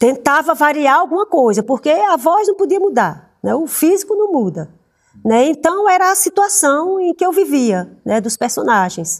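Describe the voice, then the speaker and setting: Her voice is high in pitch with very wide pitch swings, and this woman speaks at a moderate pace. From Paraíba, Brazil. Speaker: actress. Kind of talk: interview. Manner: halting, many fillers.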